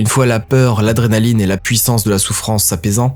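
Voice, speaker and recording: The man's delivery is fairly quick. Background music can be heard as well. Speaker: audio fiction narrator. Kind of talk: scripted narration.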